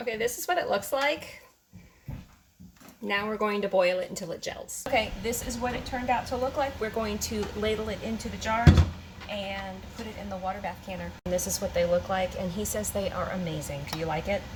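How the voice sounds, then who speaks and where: A woman talks at a fairly quick pace with a medium pitch and ordinary pitch variation. Noticeable background noise runs under her voice. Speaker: homesteading canning vlogger. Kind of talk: cooking tutorial. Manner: animated.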